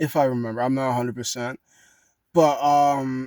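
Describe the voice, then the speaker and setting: In a dry, close sound with no echo, a man with a medium pitch talks at a fairly quick pace with monotone, flat intonation. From United States. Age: 20s. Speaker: vlogger. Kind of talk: personal monologue. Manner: fast.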